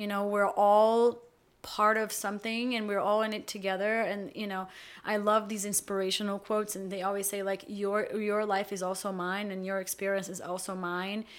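A woman speaks in a Portuguese accent with monotone, flat intonation. The recording is very clean, with a silent background. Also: medium pitch for a woman, moderate pace. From Brazil. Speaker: actor and filmmaker. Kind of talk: casual chat.

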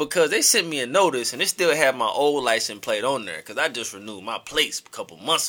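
An animated man with a fairly high, bright, sharp voice, lively intonation, big swings in loudness and a very fast pace. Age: 30s. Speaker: podcast host. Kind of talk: casual chat.

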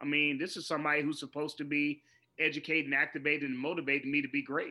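The man's pitch sits fairly high. He talks very fast. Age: 40s. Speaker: educator and keynote speaker. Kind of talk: interview.

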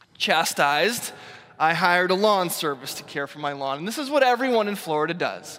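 This man, with an American accent, talks fairly quickly in a high, bright, sharp voice with lively intonation. His loudness swings widely, and there is audible room echo. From US Northeast. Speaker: pastor. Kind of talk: sermon.

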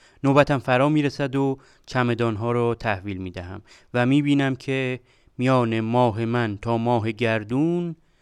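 A man with an ordinary speaking voice, medium pitch and ordinary pitch variation, at a moderate pace against a quiet background. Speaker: podcast host, computer engineer. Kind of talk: storytelling narration.

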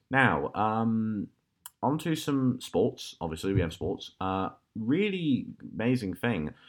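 This man has a British accent and a medium pitch that moves in very wide swings. He speaks at a very slow pace. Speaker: podcast host. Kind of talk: casual chat. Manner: halting.

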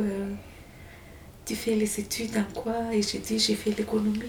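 A woman's fairly high-pitched voice with a Malagasy accent and monotone, flat intonation, amid audible room echo and noticeable background noise. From Madagascar. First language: Malagasy (speaking French). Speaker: exile telling her story. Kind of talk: testimony. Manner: halting.

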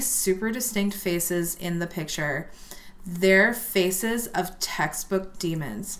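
A woman with an ordinary speaking voice, medium in pitch, with ordinary pitch variation and an American accent. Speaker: podcast co-host. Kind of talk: casual chat, drinking and telling ghost stories.

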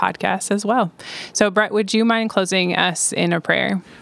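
A woman speaks in an ordinary speaking voice, her intonation fairly even. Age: 20s. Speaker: youth ministry leader. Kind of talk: casual chat.

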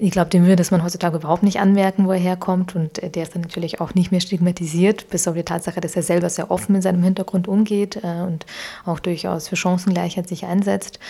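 A woman talks at a very fast pace in a fairly low, monotone, flat voice. Her tone is dark and mellow, and somewhat breathy. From Ukraine (Kyiv), then Augsburg, Germany from age 12. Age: 20s. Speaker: founder of a social mobility network. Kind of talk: interview. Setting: living room. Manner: frequent hesitations (ähm, äh).

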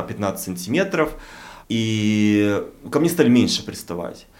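There is audible room echo around a man of medium pitch. He talks at a fairly slow pace with lively intonation. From Russian provinces. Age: 40s. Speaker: podcast co-host. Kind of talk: casual chat.

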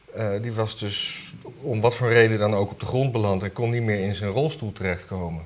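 Noticeable background noise sits behind a man speaking at a moderate pace. His pitch is fairly low, with ordinary variation. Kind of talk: casual chat about weekly news.

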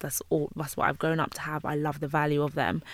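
A woman with a London accent speaks in a very deep, low voice. The recording is very clean, with a silent background. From London, Jamaican heritage. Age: 20s. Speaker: YouTuber and interior designer. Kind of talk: interview.

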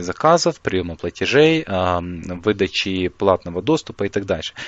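A man speaks in an ordinary speaking voice at a fairly slow pace. His intonation is lively. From Ukraine. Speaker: online marketing developer. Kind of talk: interview.

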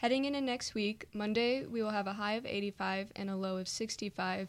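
Recorded very cleanly with a silent background, a woman with a fairly high pitch speaks at a fairly quick pace in a plain, everyday voice. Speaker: college radio co-host and sports photographer. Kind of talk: casual radio show; weather report reading. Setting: radio studio.

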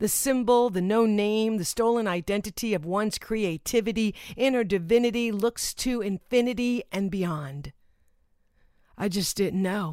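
A woman's voice with a dark, mellow tone comes through in a very clean recording with a silent background. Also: medium pitch for a woman, ordinary pitch variation, moderate pace. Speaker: poet. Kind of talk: spoken word poem. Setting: recorded solo right after a shower. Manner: rhythmic, rhyme-driven delivery; emotive, building to a reverent close.

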